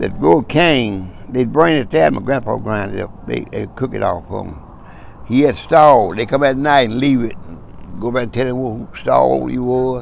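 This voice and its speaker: A man speaks in an East Texas accent at a medium pitch. His intonation is lively and his pace moderate. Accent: Southern US, East Texas. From East Texas, USA. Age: 80s+. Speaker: former farmer. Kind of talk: oral history interview answer.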